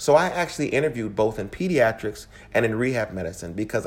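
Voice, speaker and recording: A man speaks at a fairly quick pace in an unremarkable speaking voice, his medium pitch carried by lively intonation. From US, Louisiana-born, raised across Midwest. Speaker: physician. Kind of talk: recorded personal story.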